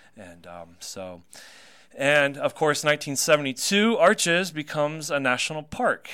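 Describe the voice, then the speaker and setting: With an American accent, a man speaks in a bright, sharp tone, his pitch swinging very widely. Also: very clean recording, silent background. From North Carolina. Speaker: radio host and tour guide. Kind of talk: casual chat. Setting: studio.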